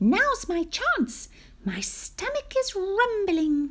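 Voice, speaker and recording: Squeaky and extremely high, a woman's put-on character voice creeps along at a very slow pace. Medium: read story. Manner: sly, playful.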